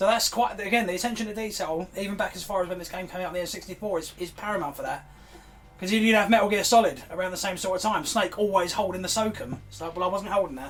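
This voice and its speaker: A man's high-pitched voice at a very fast pace, with big swings in loudness and music in the background. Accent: English. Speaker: gaming youtuber. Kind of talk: reaction commentary. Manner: animated.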